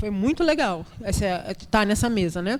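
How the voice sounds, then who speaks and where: Medium-pitched female speech amid noticeable background noise. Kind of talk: panel discussion. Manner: repetitive hesitations.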